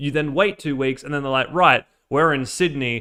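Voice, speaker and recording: A man with an Australian accent speaks in a very clean recording, the background silent. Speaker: robot builder and streamer. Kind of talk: casual live build stream. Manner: casual, filler-heavy.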